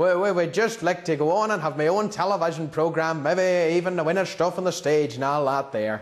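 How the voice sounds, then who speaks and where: A man with a strong Northern Irish accent and a high pitch speaks at a fairly quick pace in a cheerful tone, with hardly any pauses, very even loudness and ordinary pitch variation. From Northern Ireland. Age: young. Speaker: school student. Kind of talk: TV news interview answer. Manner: cheerful, comic.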